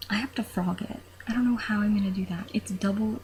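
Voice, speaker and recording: Soft-spoken and medium in pitch, a woman talks at a moderate pace with ordinary pitch variation. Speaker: knitter. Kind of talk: casual talk to camera. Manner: quiet, soft-spoken.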